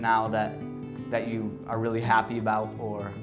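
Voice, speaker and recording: A man's voice at a medium pitch comes through with music playing in the background. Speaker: interviewer. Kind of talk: interview questions.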